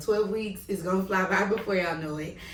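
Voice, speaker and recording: A woman with an American accent in an animated tone, fairly quick, amid noticeable background noise and audible room echo. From Mississippi, US South. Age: 20s. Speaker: vlogger and kindergarten teacher. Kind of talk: casual tutorial vlog. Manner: fast.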